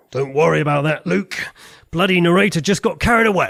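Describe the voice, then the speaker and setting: In a put-on character voice, a man speaks at a fairly quick pace with a high, raspy pitch and very even loudness. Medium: comedy sketch. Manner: clipped, exasperated, authoritative.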